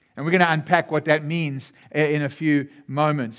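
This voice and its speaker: A man with a fairly high voice speaks fairly quickly in a warm, animated tone against a quiet background. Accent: South African. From South Africa. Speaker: pastor. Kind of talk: sermon. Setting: church. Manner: warm and animated.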